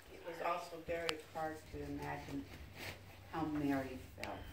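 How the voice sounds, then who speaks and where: There is noticeable background noise. A woman speaks in a very deep, low voice. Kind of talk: family interview answer. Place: home room. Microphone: camera far.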